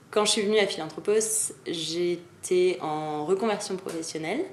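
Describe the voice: A woman's fairly low voice, slightly mellow in tone with ordinary pitch variation, moves at a moderate pace amid audible room echo.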